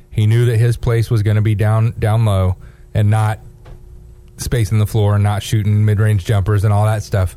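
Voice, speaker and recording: A man's plain, everyday voice, fairly low in pitch, at a fairly quick pace. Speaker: radio co-host filling in. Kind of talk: casual sports radio banter. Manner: upbeat, jokey.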